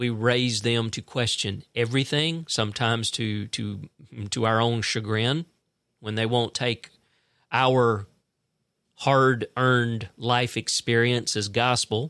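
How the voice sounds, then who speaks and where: Heard in a very clean recording with a silent background and a dry, close sound with no echo, a man at medium pitch talks at a very slow pace with fairly even intonation. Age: 50s. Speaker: podcast host. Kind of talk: political commentary monologue. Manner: casual, conversational.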